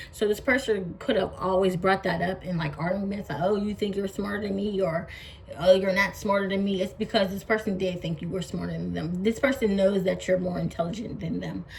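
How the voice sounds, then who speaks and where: Against noticeable background noise, a woman speaks at a fairly quick pace and a medium pitch with fairly even intonation. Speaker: tarot reader. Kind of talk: tarot reading to camera. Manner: halting.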